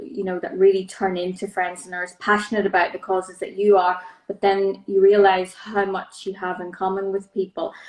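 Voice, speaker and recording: Here a woman speaks in a Northern Irish accent. Her medium-pitched voice has a monotone, flat intonation. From Northern Ireland. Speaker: charity director. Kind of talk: interview. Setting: Instagram live video.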